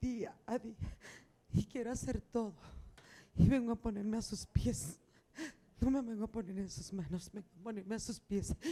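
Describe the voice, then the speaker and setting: The voice is somewhat breathy. Long, frequent pauses break up the speech. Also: woman. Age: 50s. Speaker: abuse survivor, audience member. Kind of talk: testimony. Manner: emotional, halting.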